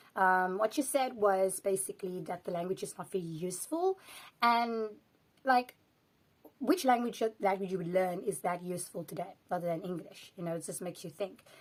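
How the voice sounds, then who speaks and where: With a South African accent, a woman talks at a moderate pace in a medium pitch, her pitch rising and falling in an ordinary way. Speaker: language vlogger. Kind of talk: casual vlog commentary.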